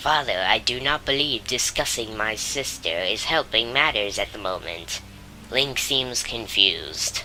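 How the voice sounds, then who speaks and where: Clear background noise sits under a low-pitched, put-on character voice. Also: moderate pace. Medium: game stream. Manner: earnest, courteous.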